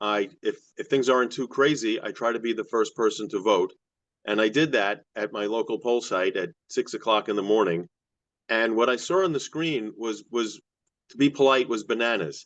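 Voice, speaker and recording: Over a quiet background, a man speaks at a moderate pace with ordinary pitch variation. His medium pitch comes in an unremarkable speaking voice. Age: 60s. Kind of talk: public testimony.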